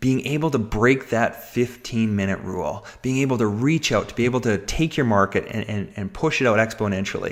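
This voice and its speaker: With noticeable background noise behind him, a man of medium pitch talks in an animated tone at a fairly quick pace. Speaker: webinar presenter. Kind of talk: sales pitch. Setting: webinar call. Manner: fast.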